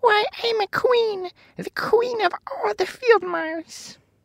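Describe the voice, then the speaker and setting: A put-on character voice speaks very slowly at an extremely high pitch. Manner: indignant.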